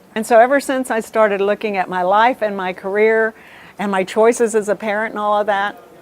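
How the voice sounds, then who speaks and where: Using fairly even intonation, a woman talks in a fairly high pitch. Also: fairly quick pace. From US South, South Texas (Rio Grande Valley). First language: Spanish. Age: 60s. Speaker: retired TV news anchor. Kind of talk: interview.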